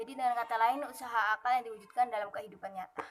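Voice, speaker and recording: A shrill woman's voice at a fairly high pitch and a very fast pace. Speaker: university student. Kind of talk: class presentation. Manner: formal, read from text.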